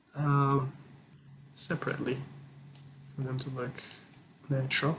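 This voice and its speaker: This man's voice sits at a fairly high pitch and moves at a moderate pace. His intonation is monotone and flat. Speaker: product design tutorial creator. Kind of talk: software tutorial walkthrough. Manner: halting, many fillers.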